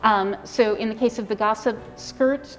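Woman speaking with faint music in the background. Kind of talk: interview answer. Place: workshop.

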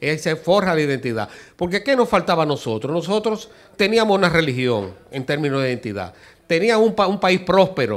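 The man speaks at a high pitch and swings it very widely. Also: fairly quick pace. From Dominican Republic. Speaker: architect and amateur historian; guest. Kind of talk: TV interview. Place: studio. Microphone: handheld.

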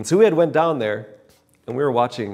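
Quiet surroundings and a male speaker with ordinary pitch movement. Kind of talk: personal testimony talk. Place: hall. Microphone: lapel.

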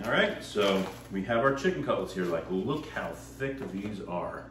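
Amid light background noise and audible room echo, a man speaks at a fairly slow pace with a fairly low pitch. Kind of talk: cooking tutorial. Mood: upbeat, friendly. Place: kitchen. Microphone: camera far.

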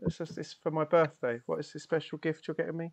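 A man with a British accent at a very fast pace, quiet background. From United Kingdom. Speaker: tabletop role-playing game player and stream host; stream host. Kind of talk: live-streamed tabletop role-playing session, casual banter. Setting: live stream. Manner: animated, jokey. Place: home room.

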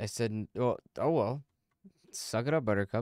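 Heard in a dry, close sound with no echo, a man speaks at medium pitch and a moderate pace, with a slightly mellow tone and ordinary pitch variation.

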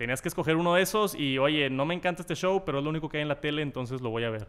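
A man in a Mexican accent, fairly high in pitch, with ordinary pitch variation. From Mexico. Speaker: tech youtuber. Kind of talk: casual interview. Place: meeting room. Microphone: studio mic.

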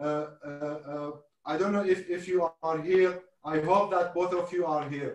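Speaking very slowly with an Arabic accent, a man uses a high pitch for a man and fairly even intonation, with audible room echo over a quiet background. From Iraq (Mosul); Iraq. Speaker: historian and event host; event host. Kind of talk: online panel discussion. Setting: video call. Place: home room. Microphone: video call.

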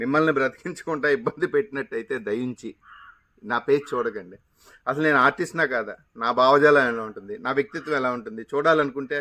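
Fairly high in pitch, a man's voice has a bright, sharp tone and ordinary pitch variation. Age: 50s. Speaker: retiring stage actor and video creator. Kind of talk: monologue to camera. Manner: dramatic, theatrical delivery.

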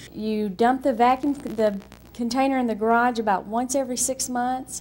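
A woman talks at a moderate pace in a high voice. Her intonation stays fairly even over light background noise. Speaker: satisfied homeowner testimonial. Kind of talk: customer testimonial. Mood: enthusiastic, warm. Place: home room.

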